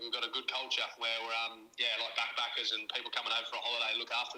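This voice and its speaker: Speech rushes by at a very fast pace with noticeable background noise behind it. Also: man. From Australia, country town. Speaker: business owner, solar installer. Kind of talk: interview.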